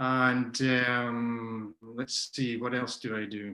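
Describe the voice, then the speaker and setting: This man has a Scottish accent and a medium pitch. He speaks with monotone, flat intonation. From Scotland. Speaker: macrobiotics teacher and nutrition consultant. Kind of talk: interview. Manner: hesitant, many fillers.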